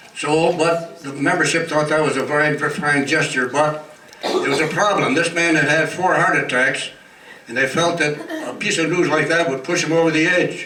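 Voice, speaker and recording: Over noticeable background noise, a man talks in a monotone, flat intonation. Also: fairly high pitch for a man, moderate pace. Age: 80s+. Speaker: retirement home resident. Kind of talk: birthday speech with jokes. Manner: humorous.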